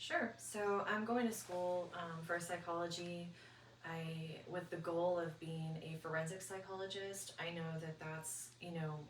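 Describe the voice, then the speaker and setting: A woman's fairly low voice at a fairly slow pace, amid audible room echo and noticeable background noise. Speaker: psychology student, guest. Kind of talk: interview, personal testimony. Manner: halting, many fillers.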